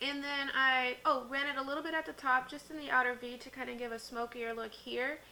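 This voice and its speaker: Against noticeable background noise, a woman speaks in a raised, projected voice. Her pitch is high, her intonation fairly even. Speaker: beauty youtuber. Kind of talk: makeup tutorial and review. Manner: casual, chatty.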